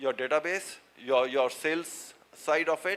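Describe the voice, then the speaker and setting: Bright and sharp in tone, a man with an Indian accent speaks in a fairly high voice with fairly even intonation. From India, Uttarakhand (Dehradun). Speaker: seminar speaker on supply chain and AI. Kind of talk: lecture. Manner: halting, many fillers and repetitions.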